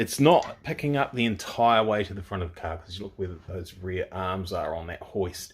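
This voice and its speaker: A man with a New Zealand accent speaks at a moderate pace. His voice is somewhat breathy, and he hardly pauses. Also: fairly low pitch for a man, ordinary pitch variation, big swings in loudness. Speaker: car builder, video creator. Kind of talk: workshop tutorial vlog.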